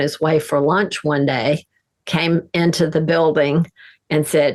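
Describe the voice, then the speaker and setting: In a flat, monotone delivery, a woman speaks with a very deep, low pitch. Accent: American. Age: 70s. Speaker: interior designer and author. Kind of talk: interview.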